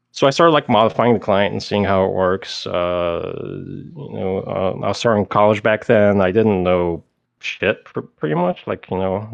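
Fairly low in pitch with ordinary pitch variation, a man talks in a normal speaking voice. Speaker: guest, former game hacker and exploiter. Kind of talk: casual interview. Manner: casual, conversational.

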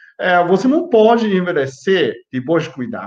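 A man's high-pitched, animated voice at a fairly slow pace. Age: 50s. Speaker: health youtuber, biochemist. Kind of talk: live stream health talk. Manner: halting.

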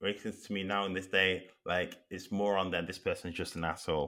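A man with a Mancunian accent, fairly low in pitch, at a fairly quick pace. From Manchester, northern England. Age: 30s. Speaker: podcast guest discussing racism. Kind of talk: casual interview.

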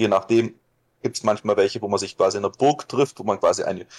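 Recorded with a dry, close sound and no echo, a man speaks at a medium pitch with ordinary pitch variation. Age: 20s. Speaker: LARP hobbyist. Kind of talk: casual interview. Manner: hesitant, many fillers.

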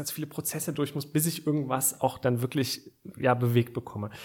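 A man with a fairly high pitch speaks at a moderate pace, somewhat breathy, with ordinary pitch variation. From Aachen, western Germany. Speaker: startup founder. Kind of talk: interview. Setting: studio.

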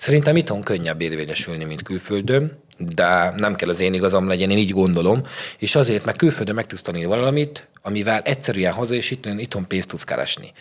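Lively intonation and a fairly quick pace mark a normal speaking voice. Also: man, fairly low pitch for a man. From Szeklerland, Romania (Sepsiszentgyörgy). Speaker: chef and restaurant owner. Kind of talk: casual interview.

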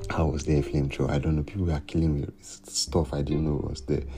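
The voice has a dark, mellow tone with vocal fry and a relaxed delivery. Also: man. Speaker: solo podcaster. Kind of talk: casual monologue. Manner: relaxed, rambling delivery.

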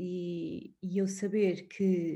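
A woman's dark, mellow, somewhat breathy voice with monotone, flat intonation. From Portugal, Sintra. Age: 30s. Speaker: widow and former wedding planner. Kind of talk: interview. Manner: halting.

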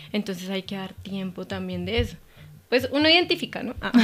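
A woman's fairly quick speech on a very clean recording with a silent background. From Colombia, Cundinamarca countryside (Gachetá). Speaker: veterinarian and clinic owner. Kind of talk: casual interview.

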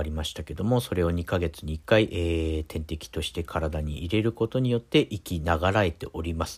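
Over a silent background in a very clean recording, a man speaks at a moderate pace with a very deep, low pitch and ordinary pitch variation. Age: middle-aged. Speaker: podcast host. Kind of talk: casual monologue. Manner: halting, many fillers.

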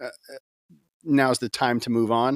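A man with an American accent has a plain, everyday voice at a medium pitch and speaks at a fairly slow pace. The very clean recording has a silent background and a dry, close sound with no echo. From US South, Gulf Coast Florida (Tampa area). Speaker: worship leader. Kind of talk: casual chat.

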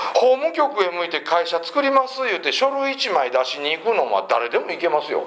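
With noticeable background noise and audible room echo, a man speaks at a fairly quick pace with a high pitch and very wide pitch swings. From Mie Prefecture, Japan. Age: 40s. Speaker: motivational speaker. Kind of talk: public lecture. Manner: animated storytelling with character voices.

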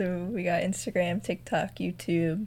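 In an ordinary speaking voice, a woman talks fairly slowly at a medium pitch. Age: 20s. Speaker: content creator. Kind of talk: casual chat.

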